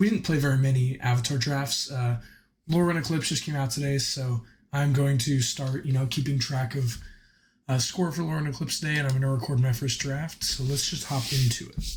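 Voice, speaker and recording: Somewhat breathy, this man has a fairly high pitch. He speaks at a fairly quick pace. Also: fairly even intonation. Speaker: gaming video creator. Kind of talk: gameplay commentary.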